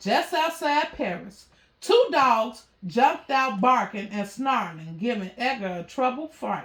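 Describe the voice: A woman speaks slowly with lively intonation, at a fairly high pitch and a fairly bright tone. Audible room echo surrounds her voice.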